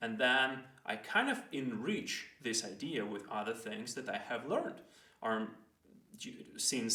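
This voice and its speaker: With a non-native accent, a man speaks at a medium pitch in a bright, sharp tone with ordinary pitch variation. Audible room echo fills the space. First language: not English. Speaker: educational video host. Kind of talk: casual explainer monologue. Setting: recording himself in front of a camera. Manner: hesitant, with fillers and restarts.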